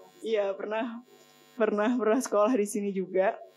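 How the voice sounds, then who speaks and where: Over light background noise, a woman speaks at a fairly quick pace with a fairly high pitch and ordinary pitch variation. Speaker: online media editor, alumni speaker; speaker. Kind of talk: guest lecture to students. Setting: stage with audience in amphitheatre. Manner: casual, friendly. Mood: friendly, smiling. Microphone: podium.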